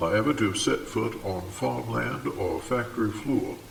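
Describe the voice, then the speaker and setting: Noticeable background noise and audible room echo around a man's moderately paced speech. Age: 60s. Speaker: local historian. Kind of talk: video essay. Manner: formal.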